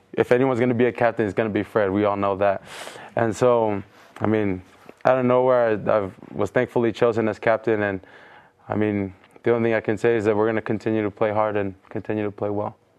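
Very fast and monotone with flat intonation, the voice comes through over noticeable background noise. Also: man, fairly low pitch for a man. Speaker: college football player. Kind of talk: casual interview. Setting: studio with live audience.

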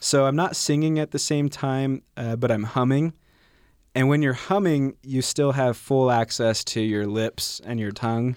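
In a plain, everyday voice, a man of medium pitch speaks at a fairly slow pace with ordinary pitch variation, in a dry, close sound with no echo on a very clean recording with a silent background. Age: 20s. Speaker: beatboxer. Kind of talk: radio interview. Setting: studio.

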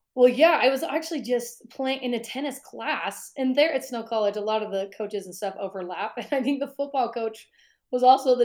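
A very clean recording over a silent background, with ordinary pitch variation and big swings in loudness. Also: woman. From Utah, US. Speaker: sports radio host. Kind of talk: interview conversation.

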